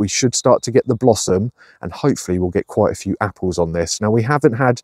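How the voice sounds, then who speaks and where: Very fast man's speech with ordinary pitch variation, dry and echo-free against a quiet background. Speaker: allotment gardener vlogger. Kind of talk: casual vlog chat. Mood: cheerful, enthusiastic. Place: garden. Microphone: phone near.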